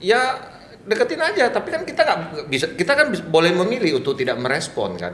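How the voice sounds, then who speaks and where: A man talks at a very fast pace with a high pitch and very wide pitch swings. Noticeable background noise runs underneath. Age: 50s. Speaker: businessman. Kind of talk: casual chat.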